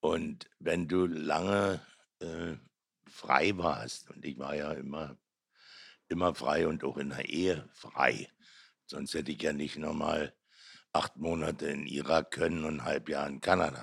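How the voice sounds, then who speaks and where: Very slow and marked by long, frequent pauses, a man's very deep, low voice carries vocal fry, fairly even intonation and a Berlin accent. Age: 70s. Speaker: artist. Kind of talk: casual chat.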